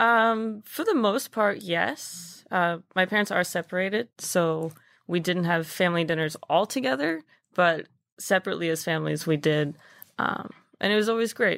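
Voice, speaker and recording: In an American accent, a woman with a plain, everyday voice speaks at a moderate pace, her pitch fairly low with ordinary pitch variation. Her loudness stays very even, in a very clean recording with a silent background. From Texas, Dallas. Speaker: restaurant maitre d'. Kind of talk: interview.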